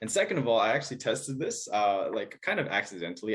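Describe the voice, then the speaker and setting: Speaking at a fairly quick pace with medium pitch, a man has an American accent and a normal speaking voice. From Texas. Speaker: dating coach. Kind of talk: casual chat.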